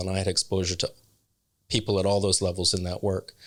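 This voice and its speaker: This man has a fairly low pitch and a Canadian accent. His intonation stays monotone and flat. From Canada, northern Ontario. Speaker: non-profit executive. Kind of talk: interview. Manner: hesitant, many ums.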